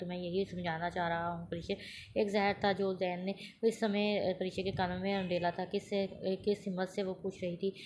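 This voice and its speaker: A woman speaks at a medium pitch in a flat, monotone way. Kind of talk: audio novel reading.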